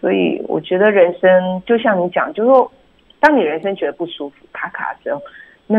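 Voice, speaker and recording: At a moderate pace, a woman with a medium pitch speaks with lively intonation. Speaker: public relations agency founder and author. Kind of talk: radio interview. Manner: halting, many fillers.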